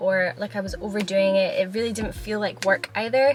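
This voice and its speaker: Music plays in the background as a woman with a Scottish accent talks at a fairly quick pace in a medium pitch. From Scotland. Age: 20s. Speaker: YouTuber. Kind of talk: casual talk to camera.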